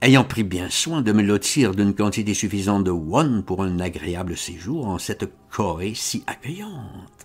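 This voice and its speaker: Here a man talks at a very slow pace with a fairly low pitch. His intonation is lively. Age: 70s. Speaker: author reading his own tale. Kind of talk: reading aloud.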